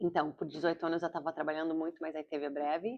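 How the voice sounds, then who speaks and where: At a fairly quick pace, a woman with a slight American accent speaks at a fairly low pitch. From Brazil, São Paulo; US from age 12 (Virginia). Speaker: actress and comedian, vlogger. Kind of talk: casual vlog diary. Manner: halting, searching for words.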